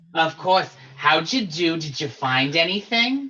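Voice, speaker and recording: Speaking at a fairly slow pace, a man does a put-on character voice with a high pitch. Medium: actual play. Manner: brassy, warm and showy.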